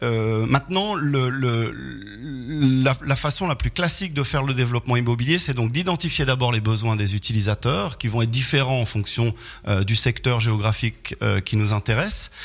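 At a moderate pace, a man speaks at medium pitch with ordinary pitch variation and very even loudness. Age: 40s. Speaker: real estate developer. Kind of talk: radio interview, expert explanation. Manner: hesitant, frequent repetitions and fillers.

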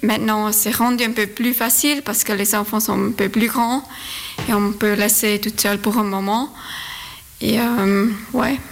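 Amid noticeable background noise, a woman with a Swiss German accent speaks at a fairly high pitch and fairly slow pace, in monotone, flat intonation with very even loudness and long, frequent pauses. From Zurich, Switzerland. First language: Swiss German (speaking French). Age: 30s. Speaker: amateur runner. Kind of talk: radio interview. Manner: halting.

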